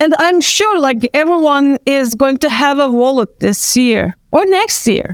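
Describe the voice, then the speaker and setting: A woman with a Turkish accent speaks high and at a fairly slow pace, with hardly any pauses. The sound is dry and close with no echo. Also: very even loudness. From Turkey, Istanbul. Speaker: actor and event organizer. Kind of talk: panel discussion. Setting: video call.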